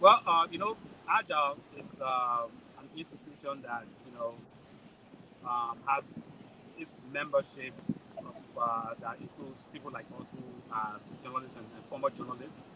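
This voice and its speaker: Over noticeable background noise, a man with a Liberian accent speaks at medium pitch, his loudness swinging widely and his pauses long and frequent. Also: ordinary pitch variation, moderate pace. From Liberia (Nimba County). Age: 40s. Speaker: journalist and association election candidate. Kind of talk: interview. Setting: convention event. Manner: halting, many fillers and repetitions.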